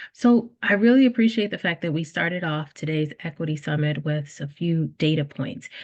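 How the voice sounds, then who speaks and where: The voice is somewhat breathy, with lively intonation at a moderate pace. The background is quiet. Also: woman, fairly low pitch for a woman. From South Louisiana. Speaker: early childhood teacher educator. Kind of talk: panel discussion.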